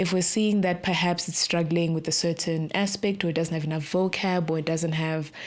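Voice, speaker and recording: Speaking at a fairly quick pace with hardly any pauses, a woman with a Zimbabwean accent talks in a fairly low pitch, with monotone, flat intonation and very even loudness. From South Africa (born in Zimbabwe). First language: Shona. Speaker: tech startup co-founder. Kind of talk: podcast interview.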